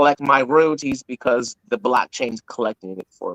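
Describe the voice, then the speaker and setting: A man with an American accent and a normal speaking voice, at a moderate pace with fairly even intonation. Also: dry, close sound with no echo. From Syracuse, New York, US. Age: 40s. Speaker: independent music artist. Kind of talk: casual interview chat. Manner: frequent word repetitions and restarts.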